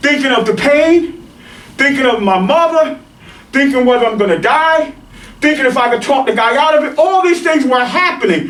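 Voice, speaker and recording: Amid noticeable background noise and audible room echo, a man speaks in an animated tone at an extremely high pitch. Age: 50s. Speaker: martial arts instructor. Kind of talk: rant.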